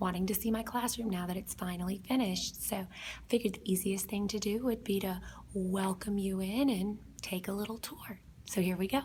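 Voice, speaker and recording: A woman whispers in an American accent, somewhat breathy and at a fairly quick pace. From South Georgia, US. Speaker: kindergarten teacher. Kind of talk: casual classroom tour narration. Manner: whispered.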